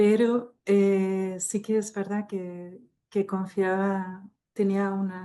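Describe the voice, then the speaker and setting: A woman with a French accent speaks very slowly at a medium pitch, her tone dark and mellow. Her intonation is monotone and flat, and the background is quiet. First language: French (speaking Spanish). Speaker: technical translator. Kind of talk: online panel discussion.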